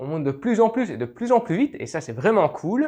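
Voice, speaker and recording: Pitch swinging very widely, a man rattles off his words very fast in a quiet setting. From Belgium. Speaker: YouTuber, history and legends channel. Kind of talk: casual Q&A video. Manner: hesitant, many fillers.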